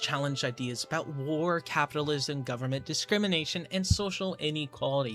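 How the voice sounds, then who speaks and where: A man with a fairly high pitch and ordinary pitch variation at a fairly quick pace, with music in the background. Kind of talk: video essay narration. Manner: quiet.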